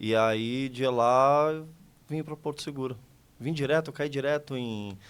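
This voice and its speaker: A man speaks at a medium pitch and a fairly slow pace, with a São Paulo accent. His intonation stays fairly even, and the recording is very clean with a silent background. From São Paulo city, Brazil. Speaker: podcast guest, community volunteer. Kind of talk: casual interview chat.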